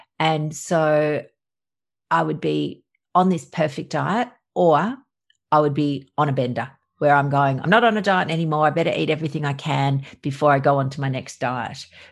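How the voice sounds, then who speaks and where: A woman with an Australian accent speaks in a very deep, low voice. The background is quiet. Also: ordinary pitch variation, moderate pace. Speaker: doctor. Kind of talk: casual interview.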